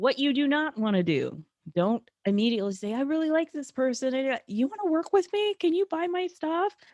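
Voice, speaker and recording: Loud and high-pitched, a woman's voice swings very widely in pitch, recorded dry and close with no echo. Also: fairly quick pace. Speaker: networking coach. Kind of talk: live webinar presentation.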